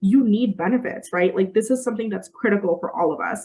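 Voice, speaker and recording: A woman speaks with a somewhat breathy, fairly high voice. Her pace is fairly quick. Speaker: recruiter and company founder. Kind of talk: webinar presentation. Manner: fast.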